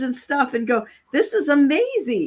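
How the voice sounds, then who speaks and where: With an Upper Midwest US accent, a woman speaks at a moderate pace while her pitch swings very widely. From Michigan. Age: 60s. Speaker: talk show host. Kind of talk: casual chat.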